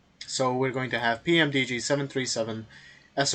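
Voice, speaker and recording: At a moderate pace, the voice carries a bright, sharp tone and fairly even intonation. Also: man. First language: not English. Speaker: flight sim youtuber. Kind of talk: tutorial. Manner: halting.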